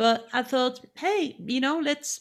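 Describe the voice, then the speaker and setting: A woman speaks at a moderate pace with a French accent, her high voice showing ordinary pitch variation. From France, Lyon. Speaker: retail executive and leadership consultant. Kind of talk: interview.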